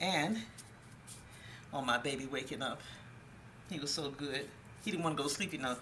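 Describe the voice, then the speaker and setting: With a very deep, low pitch, a woman speaks at a fairly quick pace with long, frequent pauses, amid noticeable background noise and audible room echo. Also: ordinary pitch variation. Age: 60s. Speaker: cooking show host. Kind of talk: cooking tutorial.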